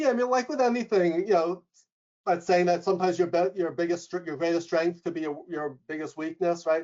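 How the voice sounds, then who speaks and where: A loud, high-pitched man's voice in a New York accent, fairly quick in pace, with ordinary pitch variation. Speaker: leadership coach and professor. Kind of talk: webinar interview. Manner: fast.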